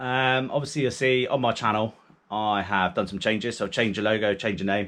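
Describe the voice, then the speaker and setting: With a fairly low pitch, a man speaks at a very fast pace. His intonation stays fairly even. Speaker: angling channel host. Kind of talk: tutorial. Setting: garage. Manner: monotone; many ums, fillers.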